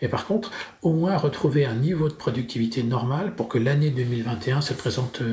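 Over noticeable background noise, a man speaks at a medium pitch and moderate pace with lively intonation. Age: 50s. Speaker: business owner. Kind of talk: interview.

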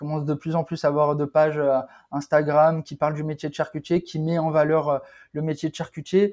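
A man talks fairly quickly at a fairly high pitch in a monotone, flat intonation, with big swings in loudness. The sound is dry and close with no echo over a quiet background. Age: 20s. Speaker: charcutier. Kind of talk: casual chat. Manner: halting.

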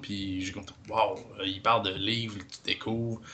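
A man's plain, everyday voice at a moderate pace. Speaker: podcaster. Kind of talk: casual chat.

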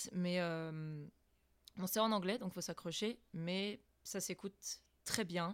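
A plain, everyday voice with fairly even intonation. The recording is very clean and the background silent. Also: woman. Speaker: amateur voice actress. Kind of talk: casual chat.

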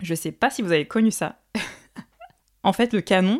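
In a very clean recording with a silent background and a dry, close sound with no echo, a woman with a plain, everyday voice of medium pitch speaks at a fairly quick pace with lively intonation. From Paris suburbs, France. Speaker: podcast host and singer. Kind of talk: solo monologue.

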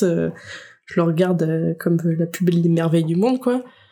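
A woman's voice with a dark, mellow tone. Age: 20s. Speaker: young mother. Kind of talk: casual interview.

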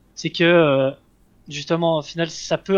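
This man's voice sits at a high pitch. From Switzerland. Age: 20s. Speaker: esports player. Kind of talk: interview. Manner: halting, many fillers.

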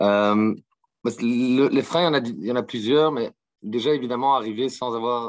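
A man speaks at medium pitch and a fairly slow pace. The intonation stays fairly even, and the recording is very clean with a silent background. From Belgium, Brussels. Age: 30s. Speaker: management consultant, legal operations manager. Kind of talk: interview. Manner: hesitant, many fillers.

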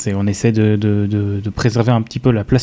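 With a dark, mellow tone and a fairly low pitch, a man speaks fairly quickly in a monotone, flat way. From France, Strasbourg suburbs (Alsace). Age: 20s. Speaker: software developer. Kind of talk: casual chat.

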